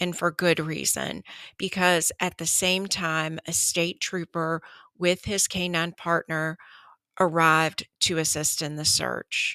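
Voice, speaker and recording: A woman speaks very slowly in a flat monotone, her tone solemn and warm yet also bright and sharp. The sound is dry and close with no echo, on a very clean recording with a silent background. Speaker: true crime podcast host. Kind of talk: true-crime narration. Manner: measured, solemn storytelling, with warm, conversational asides; earnest and emotional when praising the mother.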